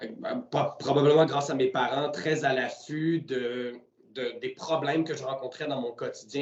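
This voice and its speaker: Against noticeable background noise, a man with a Quebec accent talks at a moderate pace in a fairly high pitch. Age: 20s. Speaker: entrepreneur. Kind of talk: interview. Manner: hesitant, many fillers.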